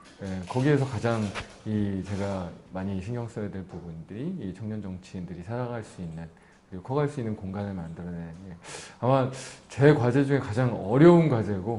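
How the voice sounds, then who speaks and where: A man's ordinary speaking voice, fairly low in pitch, with lively intonation, big swings in loudness and a moderate pace. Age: 30s. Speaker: politician, newly elected member of parliament. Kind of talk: interview answer.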